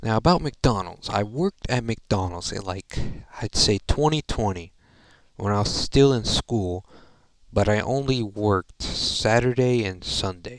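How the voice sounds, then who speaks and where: A man's fairly low voice comes through dry and close, with no echo. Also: ordinary pitch variation, fairly slow pace. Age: 20s. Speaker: gaming YouTuber. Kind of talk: casual monologue. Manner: halting, filler-heavy.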